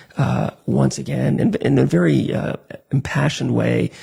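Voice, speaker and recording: A man's voice over noticeable background noise. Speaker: radio call-in show host. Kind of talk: live call-in show news recap. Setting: live online broadcast. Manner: soft-spoken.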